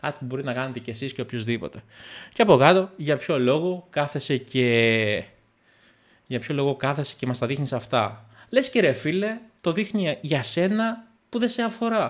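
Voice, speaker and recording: A man's fairly high voice at a moderate pace, with very wide pitch swings against a quiet background. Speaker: tech YouTuber. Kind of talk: casual vlog monologue. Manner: calm and gentle; halting. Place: home room.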